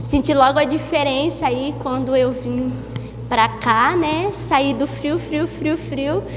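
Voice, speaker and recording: Audible room echo and noticeable background noise surround the recording. A woman speaks in a southern Brazilian accent. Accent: gaúcho (southern Brazilian). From southern Brazil, Santa Maria, Rio Grande do Sul. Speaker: guest preacher. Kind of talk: sermon. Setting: church service.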